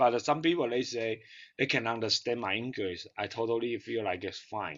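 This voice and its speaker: Speaking in a Taiwanese accent, a man keeps a medium pitch, a moderate pace and ordinary pitch variation. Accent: Taiwanese Mandarin. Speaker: digital marketing business owner. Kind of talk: group video call discussion. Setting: video call. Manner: halting, hesitant.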